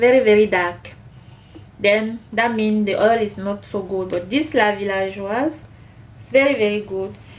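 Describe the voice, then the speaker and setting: Speaking at a very slow pace, a woman with a Cameroonian accent has a fairly high pitch. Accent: Cameroonian francophone accent in English. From Cameroon, French-speaking part. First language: French. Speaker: cooking channel host. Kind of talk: cooking tutorial. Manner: halting, many fillers.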